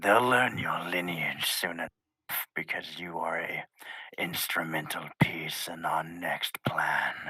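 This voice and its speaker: In a put-on character voice, someone whispers at a fairly slow pace with a dry, close sound that has no echo. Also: man. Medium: actual play. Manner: measured, formal, reserved.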